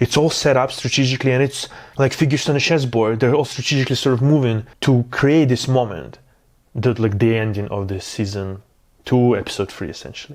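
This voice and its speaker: A man with a non-native accent, fairly quick pace, enthusiastic tone and ordinary pitch variation. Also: medium pitch for a man. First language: not English. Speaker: film review youtuber. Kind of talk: casual video review. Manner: halting, many fillers.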